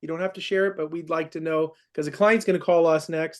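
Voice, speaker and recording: A man at a very fast pace against a quiet background. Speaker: process serving company manager training staff. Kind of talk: staff training meeting.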